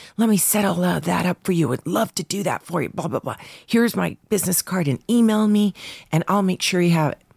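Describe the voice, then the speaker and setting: In an unremarkable speaking voice, a woman talks at a fairly quick pace with medium pitch and ordinary pitch variation, the sound dry and close with no echo. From Canada. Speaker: voice actor's wife. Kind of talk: casual chat.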